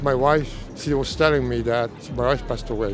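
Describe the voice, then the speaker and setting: Music plays in the background as a man talks at a fairly slow pace. Audible echo fills the room. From Italy. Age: 80s+. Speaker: interviewee. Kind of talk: street interview.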